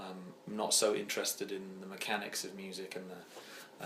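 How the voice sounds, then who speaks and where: Audible room echo surrounds a man with an English accent who speaks at a moderate pace in a monotone, flat intonation. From England, East Midlands (Oakham, Rutland). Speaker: singer-songwriter. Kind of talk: interview. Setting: home.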